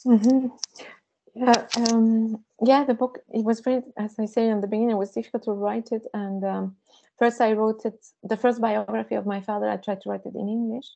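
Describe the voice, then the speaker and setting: Monotone, flat intonation runs through this woman's speech. Her pitch is fairly high. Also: fairly quick pace. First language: Spanish. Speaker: visual artist and author. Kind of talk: seminar conversation. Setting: seminar with audience. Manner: halting.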